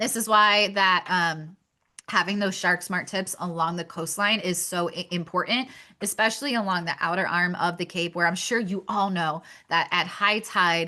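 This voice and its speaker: Over a quiet background, a woman with a Pennsylvania accent speaks at medium pitch in a bright, sharp tone with fairly even intonation. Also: moderate pace. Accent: Pennsylvania accent, noticeable. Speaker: shark conservation outreach speaker. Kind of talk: webinar presentation. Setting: video webinar.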